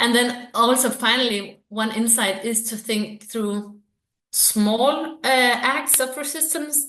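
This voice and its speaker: A woman with a Danish accent talks at a fairly high pitch with ordinary pitch variation. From Denmark. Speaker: researcher. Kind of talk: interview. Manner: hesitant, many fillers.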